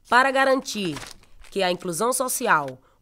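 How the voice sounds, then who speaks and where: With music in the background, a woman talks using lively intonation. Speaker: professional footballer. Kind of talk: public service campaign narration.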